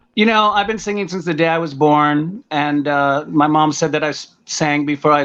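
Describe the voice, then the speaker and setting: Against a quiet background, a man with an American accent speaks in a fairly high pitch with ordinary pitch variation. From US, Washington D.C. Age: 50s. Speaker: singer-songwriter. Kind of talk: casual interview chat.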